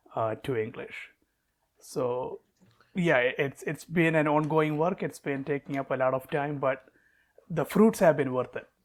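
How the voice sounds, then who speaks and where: Fairly slow speech with long, frequent pauses in a Keralan accent, ordinary pitch variation, and a very clean recording with a silent background. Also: man, fairly high pitch for a man. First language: Malayalam. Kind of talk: interview. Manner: hesitant, repeats words.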